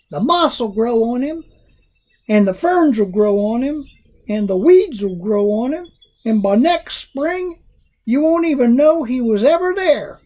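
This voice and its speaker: Putting on a character voice in an Ozark accent, a man speaks at an extremely high pitch with very wide pitch swings and a fairly slow pace. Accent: rural Ozark. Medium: read story. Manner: dry, unbothered.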